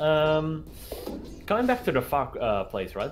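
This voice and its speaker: The speaker keeps a moderate pace with music running in the background. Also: man. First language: not English. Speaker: esports caster. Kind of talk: live commentary.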